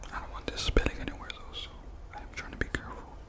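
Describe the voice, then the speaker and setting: A soft-spoken man whispering at a very fast pace. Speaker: content creator. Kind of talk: casual vlog chat. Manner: soft ASMR whisper close to mic. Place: home room. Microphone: studio mic.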